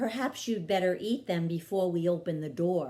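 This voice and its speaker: Someone uses a put-on character voice pitched in the middle range. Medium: read story. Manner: warm, patient.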